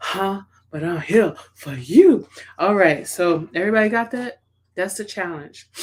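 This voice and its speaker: At a fairly slow pace, a woman of medium pitch speaks with lively intonation and big swings in loudness. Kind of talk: team motivational talk. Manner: soft-spoken.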